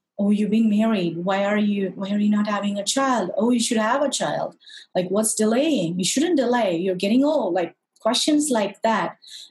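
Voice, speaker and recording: A woman's somewhat breathy speech, its pitch varying in an ordinary way. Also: moderate pace. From southern India. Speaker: fertility coach. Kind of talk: casual interview.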